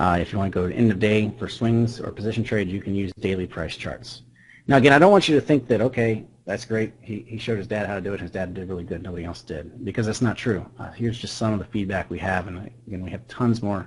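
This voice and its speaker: Speaking at a very fast pace, a man with a fairly low pitch and a somewhat breathy voice shows big swings in loudness and ordinary pitch variation. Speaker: trader presenting a trading indicator. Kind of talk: webinar presentation.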